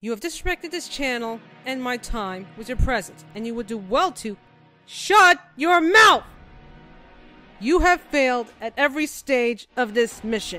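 Against faint music in the background, a woman puts on a character voice pitched high. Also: moderate pace. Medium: voice reel. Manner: cold, commanding, angry.

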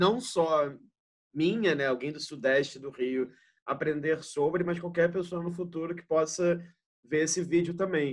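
Against a quiet background, a man with an unremarkable speaking voice talks fairly slowly at a fairly high pitch, with fairly even intonation and big swings in loudness. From Rio de Janeiro, Brazil. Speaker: interviewer, curator; interviewer. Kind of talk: interview. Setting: video call. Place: home room. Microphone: video call.

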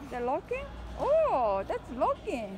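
The voice moves at a very slow pace with very wide pitch swings. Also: woman, high pitch for a woman.

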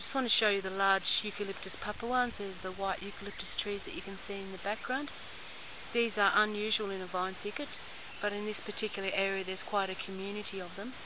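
Noticeable background noise behind a woman's dry, echo-free voice. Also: fairly even intonation. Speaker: environmental activist guide. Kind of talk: guided walk narration. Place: open country. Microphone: phone near.

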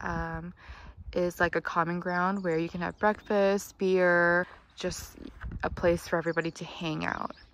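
With a normal speaking voice, a woman speaks at a fairly slow pace and fairly low pitch, and the sound is dry with no echo. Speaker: travel vlogger. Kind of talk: casual vlog chat. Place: open country. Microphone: phone near.

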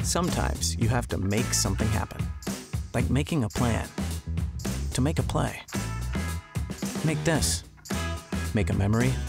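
A man at a moderate pace with long, frequent pauses, dry sound with no echo, and loud music in the background. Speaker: voice actor. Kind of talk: promo commercial read. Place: booth.

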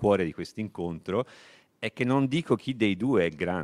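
In an unremarkable speaking voice, a man talks at a moderate pace with a fairly low pitch and lively intonation. The background is quiet. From Tuscany, Italy. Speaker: literature professor. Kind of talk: lecture. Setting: library event with audience, streamed. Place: hall. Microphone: handheld.

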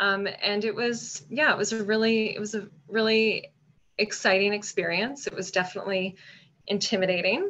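A woman speaks in a Canadian Maritime accent. Her intonation stays fairly even. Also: moderate pace. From Nova Scotia, Canada. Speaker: food marketing association director; panelist. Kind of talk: panel discussion. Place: home room. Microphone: video call.

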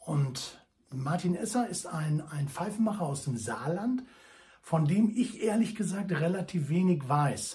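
A man's high, dark and mellow voice with lively intonation at a fairly slow pace. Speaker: pipe enthusiast reviewer. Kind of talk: casual vlog chat. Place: home room. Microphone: phone near.

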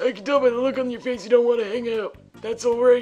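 This put-on character voice sounds strained, pitched fairly high and delivered at a very fast pace. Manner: creepy.

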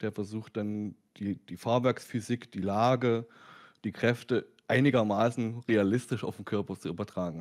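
A man at a moderate pace and fairly low pitch, on a very clean recording with a silent background. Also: fairly even intonation. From Lower Saxony, near Wolfsburg. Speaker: sim racing YouTuber. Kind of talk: casual chat. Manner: halting.

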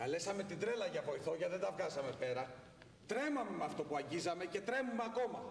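At a moderate pace, a man speaks amid audible room echo. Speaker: stage actor. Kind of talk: theatrical monologue addressing audience. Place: stage.

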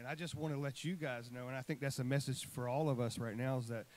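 With a medium pitch, a man speaks with normal rises and falls. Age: 40s. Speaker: songwriter. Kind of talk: testimony. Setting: church. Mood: earnest, heartfelt. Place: church. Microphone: handheld.

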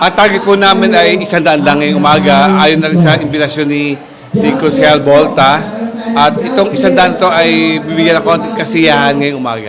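Lively intonation comes at a moderate pace, with audible room echo and noticeable background noise. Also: man, fairly high pitch for a man. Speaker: barangay official. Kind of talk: interview soundbite. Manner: halting, many fillers.

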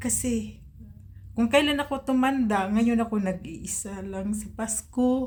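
A woman at a fairly high pitch, somewhat breathy, with ordinary pitch variation and a fairly slow pace. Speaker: private driver, vlogger. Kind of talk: personal vlog. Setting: alone in her room.

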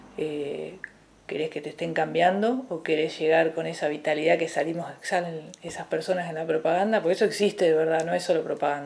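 A woman talks at a fairly quick pace in a plain, everyday voice. Her pitch is fairly low and her intonation fairly even. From Argentina, Entre Ríos (Colón); Entre Ríos, Argentina. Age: 40s. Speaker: fitness coach and athlete; interview guest. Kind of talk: casual interview chat. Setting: TV studio. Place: home room.

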